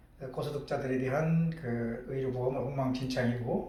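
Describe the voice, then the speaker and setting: Here a man speaks at a very slow pace, his pitch fairly high with ordinary variation. Audible room echo surrounds the voice. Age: 60s. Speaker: doctor. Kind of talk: personal monologue vlog. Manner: hesitant, many fillers.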